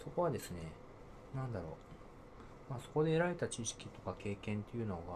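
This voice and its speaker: Somewhat breathy, a man speaks at a fairly quick pace and medium pitch, with very wide pitch swings and long, frequent pauses. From Niigata, Japan. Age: 40s. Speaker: software engineer. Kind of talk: casual interview. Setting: same room, offline recording.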